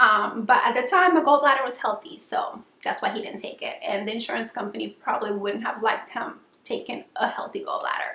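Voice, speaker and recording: A woman's high-pitched voice at a fairly quick pace, with very wide pitch swings and big swings in loudness over noticeable background noise. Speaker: vlogger sharing weight loss surgery experience. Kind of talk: casual vlog tutorial. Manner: hesitant fillers, frequent um.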